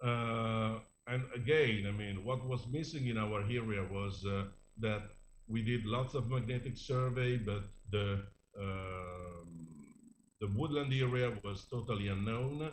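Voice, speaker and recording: Amid audible room echo, a somewhat breathy man of medium pitch speaks at a fairly slow pace with ordinary pitch variation. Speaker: archaeologist presenting research. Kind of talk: conference presentation. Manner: hesitant, many fillers.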